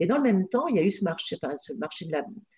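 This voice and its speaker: A woman speaks at medium pitch with very wide pitch swings. Her tone is dark, mellow and somewhat breathy. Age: 50s. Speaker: payroll consultant. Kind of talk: interview. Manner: halting.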